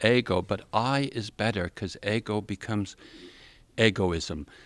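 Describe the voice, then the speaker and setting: A man with a Canadian accent talks very slowly with lively intonation, recorded very cleanly against a silent background. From Canada. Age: old. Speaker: community worker. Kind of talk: talk to an audience. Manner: halting.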